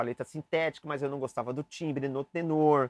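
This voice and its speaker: A man with an unremarkable speaking voice, fairly high pitch and moderate pace, recorded dry and close with no echo. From Brazil, São Paulo. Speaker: saxophone teacher. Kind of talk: tutorial. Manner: casual, chatty.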